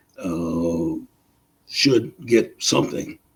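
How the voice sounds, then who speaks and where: This man has a dark, mellow tone. He talks with an American accent. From US South. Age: 80s+. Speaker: war veteran. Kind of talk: interview. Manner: halting.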